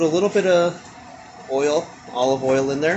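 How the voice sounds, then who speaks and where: Soft-spoken, this man has a fairly high pitch and ordinary pitch variation. Noticeable background noise is present. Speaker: cooking and gardening vlogger. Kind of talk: casual cooking tutorial. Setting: kitchen at home.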